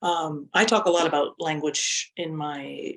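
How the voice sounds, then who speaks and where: A woman's very deep, low voice with a French accent. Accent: Canadian English, non-native French. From Canada. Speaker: university lecturer. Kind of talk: webinar presentation. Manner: halting with fillers and repetitions.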